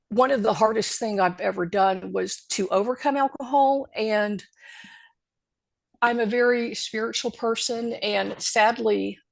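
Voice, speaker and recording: A woman with a normal speaking voice talks at a fairly slow pace in a fairly high pitch. Her pitch variation is ordinary, and the background is quiet. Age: 60s. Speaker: podcast guest in recovery. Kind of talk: personal testimony.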